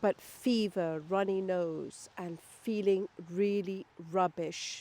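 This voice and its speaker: With a British accent, a woman speaks at a medium pitch with ordinary pitch variation. Her tone is dark and mellow, and the sound is dry and close with no echo. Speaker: lifestyle and wellbeing vlogger. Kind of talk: personal vlog talk to camera.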